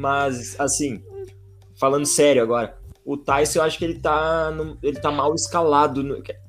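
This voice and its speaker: Music plays in the background as a man with a fairly high voice talks at a moderate pace, his pitch varying in an ordinary way. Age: 20s. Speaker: physical education student, podcast panelist. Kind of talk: casual chat.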